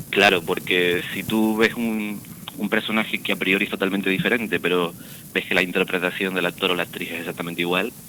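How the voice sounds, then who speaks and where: Speaking at a fairly quick pace, the man has a very deep, low pitch. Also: fairly even intonation. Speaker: actor. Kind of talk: radio interview.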